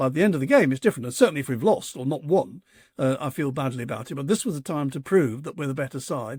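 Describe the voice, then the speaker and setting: A man with a fairly high, somewhat breathy voice talks at a very fast pace on a very clean recording with a silent background. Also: ordinary pitch variation. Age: 70s. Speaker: author and football fan. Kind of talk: interview. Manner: halting, repeats words.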